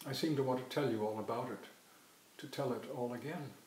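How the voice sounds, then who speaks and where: This man speaks at a fairly quick pace in a medium pitch, with ordinary pitch variation. Room echo is audible. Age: 60s. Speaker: psychoanalyst. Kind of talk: personal storytelling monologue.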